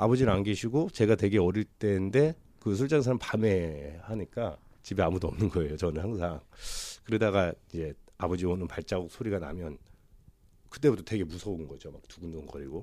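A man speaks at a fairly quick pace with a very deep, low pitch and a dark, mellow tone. His intonation is lively, with big swings in loudness. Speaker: counseling client. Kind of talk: personal counseling conversation. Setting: counseling room.

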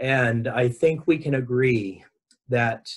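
A man speaks at a medium pitch with an American accent. His voice is somewhat breathy, with ordinary pitch variation. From Southern California. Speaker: education director and educator. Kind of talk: interview conversation.

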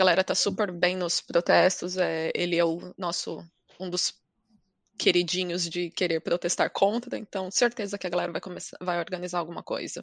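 A woman with an ordinary speaking voice talks at a moderate pace with a fairly low pitch and fairly even intonation. The sound is dry and close with no echo, and the background is quiet. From Brazil. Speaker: podcast guest. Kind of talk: casual chat.

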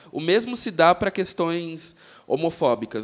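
A man with a plain, everyday voice speaks at a fairly high pitch with ordinary pitch variation, on a very clean recording with a silent background. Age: 20s. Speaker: advertising professional, podcast guest. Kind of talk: casual chat.

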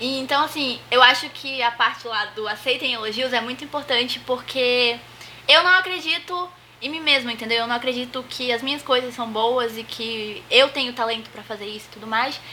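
There is noticeable background noise as a high-pitched woman speaks at a moderate pace. Her loudness swings widely. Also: ordinary pitch variation. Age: 20s. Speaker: host's sister, unemployed. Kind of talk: casual chat.

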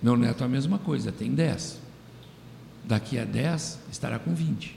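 A man speaks at a fairly slow pace in a dark, mellow tone at medium pitch, with vocal fry. Audible room echo surrounds his voice. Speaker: radio host. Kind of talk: radio commentary monologue.

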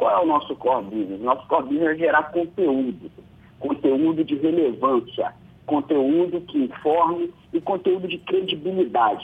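Speech moves along at a moderate speed. Its pitch shifts in an ordinary way. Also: man, fairly high pitch for a man. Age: 30s. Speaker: media company executive. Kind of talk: radio interview. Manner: hesitant, many fillers.

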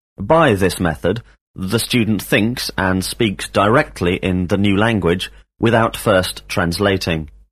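At a fairly slow pace and very even loudness, a man talks in a normal speaking voice. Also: fairly low pitch for a man, ordinary pitch variation. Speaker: English teacher. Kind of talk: language lesson drill. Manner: formal.

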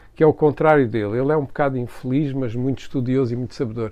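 A man talking at a very fast pace. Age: 60s. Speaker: architect. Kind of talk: interview conversation.

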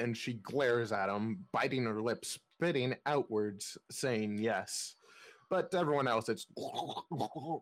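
Plain reading aloud, its intonation lively.

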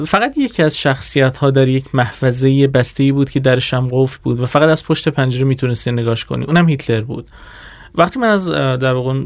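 This is a man with a normal speaking voice, medium pitch and ordinary pitch variation, talking at a fairly quick pace. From Iran, Kurdistan province (Qorveh). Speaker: psychology researcher. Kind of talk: interview.

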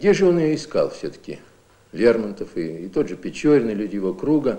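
A man of medium pitch has a dark, mellow tone. He speaks at a moderate pace with very wide pitch swings. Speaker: literature professor. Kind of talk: academic commentary in an interview. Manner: thoughtful, explanatory, somewhat halting, unscripted.

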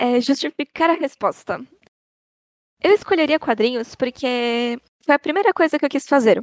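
A woman with a high-pitched voice speaks at a moderate pace with lively intonation and long, frequent pauses. The sound is dry and close, with no echo. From Brazil, São Paulo city (north zone). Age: 20s. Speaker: artist (painter, comics, theatre). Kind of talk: casual chat.

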